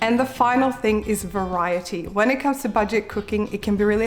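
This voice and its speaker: In an Australian accent, a woman talks at a very fast pace with a medium pitch and ordinary pitch variation. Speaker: cooking and meal-planning YouTuber. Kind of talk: vlog-style tutorial.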